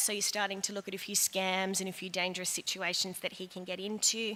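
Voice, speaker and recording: With an Australian accent, a woman talks at a medium pitch in a bright, sharp tone. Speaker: head of year at a school. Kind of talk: school information evening talk to parents. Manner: fast.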